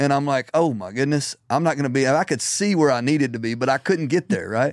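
Someone with a Southern US accent talks at a very fast pace with ordinary pitch variation. The recording is very clean, with a silent background. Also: man. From Middle Tennessee. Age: 40s. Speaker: ministry founder. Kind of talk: casual interview. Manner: halting.

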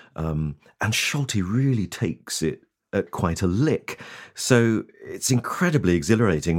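Speaking with vocal fry, a man lets his pitch swing very widely. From East Anglia. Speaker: radio newsreader and concert narrator. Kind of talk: interview. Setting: video call.

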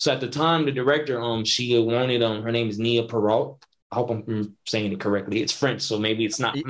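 A man with an American accent uses a plain, everyday voice, talking at a fairly quick pace with hardly any pauses and fairly even intonation. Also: medium pitch for a man. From Northern California. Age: 20s. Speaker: independent filmmaker. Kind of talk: casual interview.

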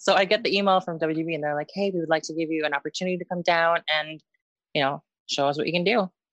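A woman speaks with a fairly low pitch. Her pitch varies in an ordinary way, and the sound is dry and close with no echo. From Canada, Northwest Territories (born in the Philippines). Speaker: professional wrestler. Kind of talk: interview. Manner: hesitant, many fillers.

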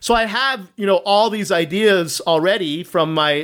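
With an American accent and ordinary pitch variation, a man speaks on a very clean recording with a silent background. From US South, Norfolk, Virginia. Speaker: author on emotional intelligence. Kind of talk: interview.

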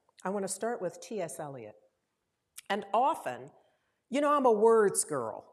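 A woman at medium pitch with vocal fry, a moderate pace, very wide pitch swings and long, frequent pauses. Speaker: minister. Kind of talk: sermon. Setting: church. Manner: warm, informal, laughs often.

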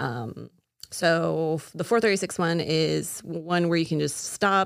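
In a very clean recording with a silent background, a woman with an American accent speaks fairly slowly at a fairly low pitch in an unremarkable speaking voice. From Florida (Castleberry). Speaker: pastry chef. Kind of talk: casual chat.

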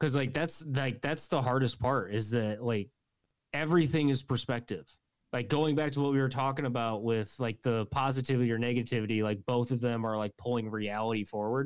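A man with a normal speaking voice, medium pitch and ordinary pitch variation, fairly quick pace and very even loudness, on a very clean recording with a silent background. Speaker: guest, friend of host. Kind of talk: casual chat.

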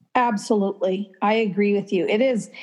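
In an Upper Midwest accent, a woman speaks. She keeps a moderate pace. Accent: Upper Midwest American. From Minnesota, US Midwest. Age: 50s. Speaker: author and writing teacher. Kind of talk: casual interview.

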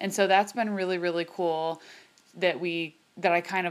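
Over music in the background, a woman with a fairly low pitch talks at a fairly quick pace with fairly even intonation. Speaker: podcast host, chiropractor. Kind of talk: casual interview chat.

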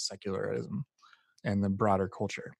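A man with an unremarkable speaking voice and fairly low pitch is heard in a dry, close sound with no echo, on a very clean recording with a silent background. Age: 30s. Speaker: podcast host. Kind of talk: interview.

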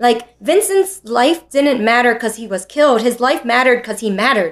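In a very clean recording with a silent background, a woman talks in a normal speaking voice with an American accent, at a moderate pace, with fairly high pitch and ordinary pitch variation. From New York City. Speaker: teacher. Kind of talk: interview.

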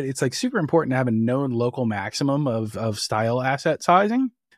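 Recorded very cleanly against a silent background, a man with a New Jersey accent talks at a medium pitch. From New Jersey, Jersey Shore. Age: 30s. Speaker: software engineer. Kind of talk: casual chat.

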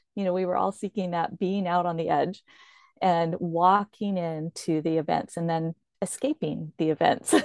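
A woman with an unremarkable speaking voice, fairly low in pitch, talks at a moderate pace with fairly even intonation. The sound is dry and close with no echo, over a quiet background. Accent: American. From Oregon, US Northwest. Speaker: van lifer and YouTuber. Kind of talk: interview.

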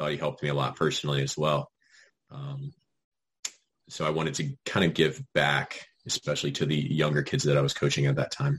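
A man with an American accent talks at a fairly quick pace, his sound dry and close with no echo. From Virginia. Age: 20s. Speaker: soccer coach. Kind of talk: casual chat.

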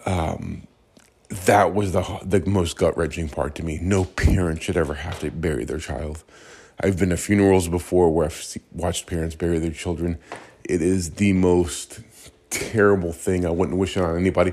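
At a moderate pace, a man speaks with a very deep, low voice. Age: 40s. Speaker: podcast host. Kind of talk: casual monologue. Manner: animated.

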